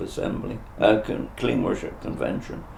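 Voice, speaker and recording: With a West Country accent, the speaker goes at a fairly slow pace amid noticeable background noise and audible room echo. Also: man. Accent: Dorset. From southern England, Dorset. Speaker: retired travelling minister. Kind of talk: interview testimony. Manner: halting.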